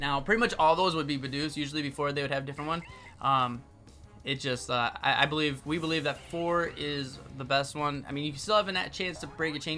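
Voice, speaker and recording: Over music in the background, a man speaks very fast with a fairly high pitch and fairly even intonation. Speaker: gaming youtuber. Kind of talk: tutorial. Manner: halting, many fillers.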